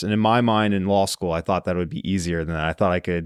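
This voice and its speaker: Dry and close with no echo, a man's fairly low-pitched voice carries fairly even intonation in an unremarkable speaking voice. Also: very clean recording, silent background. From US, central Pennsylvania. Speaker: trial lawyer. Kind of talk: podcast interview.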